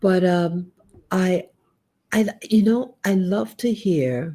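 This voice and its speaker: A somewhat breathy woman with a fairly low pitch and an American accent. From United States. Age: 60s. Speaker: YouTuber and Navy veteran. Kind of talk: casual live stream monologue. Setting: home living room live stream. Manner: halting.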